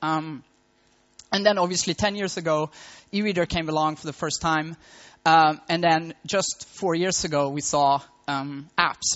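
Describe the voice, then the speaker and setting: Speaking at a fairly slow pace in a Swedish accent, the voice keeps a fairly even intonation and leaves long, frequent pauses. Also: man, fairly high pitch for a man. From Sweden, Malmo. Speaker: tech entrepreneur. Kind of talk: conference talk. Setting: stage with audience.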